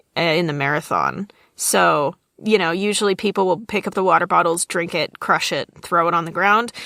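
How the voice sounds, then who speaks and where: In a very clean recording with a silent background, a woman speaks with vocal fry in a dry, close sound with no echo. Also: fairly low pitch for a woman, moderate pace. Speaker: podcast co-host. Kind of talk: casual chat. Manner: animated.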